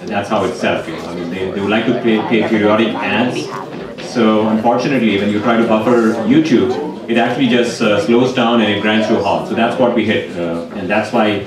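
A man talks at a fairly quick pace with ordinary pitch variation. The room echo is audible and background noise is noticeable. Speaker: event host. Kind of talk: announcement to audience. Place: stage. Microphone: handheld.

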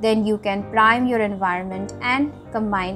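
Over clear music in the background, a woman speaks with ordinary pitch variation. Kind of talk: motivational talk. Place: home room. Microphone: webcam.

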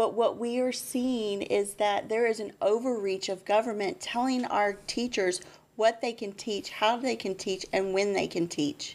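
Her pitch fairly high for a woman, she talks at a fairly slow pace with ordinary pitch variation. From Texas. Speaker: school board candidate, nurse, mother; candidate. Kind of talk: interview. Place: studio. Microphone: studio mic.

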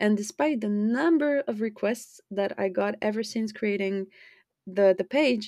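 A woman with a French accent speaks at a fairly high pitch, recorded with a dry, close sound and no echo. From France. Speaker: podcast host. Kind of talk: personal monologue.

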